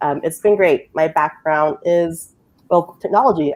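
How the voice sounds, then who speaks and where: A woman speaks at a moderate pace with a Lao accent. Her pitch is very deep and low, with ordinary pitch variation. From Utah. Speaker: technology coordinator. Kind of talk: casual chat.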